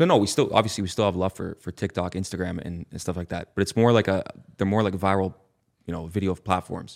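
Speaking at a very fast pace with fairly even intonation, a man with a Canadian accent has a very deep, low pitch, and the sound is dry and close with no echo. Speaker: musician. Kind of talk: casual chat.

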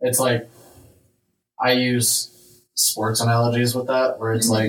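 Somewhat breathy and monotone with flat intonation, a man of medium pitch speaks at a moderate pace. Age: 20s. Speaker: faith podcast host. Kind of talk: casual chat.

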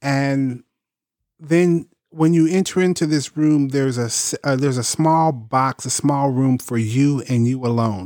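A man's normal speaking voice, fairly high-pitched, at a fairly slow pace with ordinary pitch variation, in a very clean recording over a silent background. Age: 50s. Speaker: podcast co-host. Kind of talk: casual chat.

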